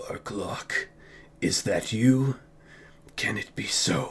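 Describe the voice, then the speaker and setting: Over light background noise, a man does a raspy, put-on character voice at a very slow pace. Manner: foreboding.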